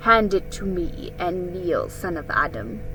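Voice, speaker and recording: Someone speaks in a put-on character voice at a fairly slow pace. Loud background noise fills the recording. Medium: read story. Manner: grave, dignified.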